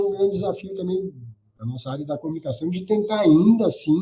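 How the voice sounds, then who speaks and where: A man talks in a dark, mellow tone. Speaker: government communications adviser. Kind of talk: interview answer. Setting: remote call.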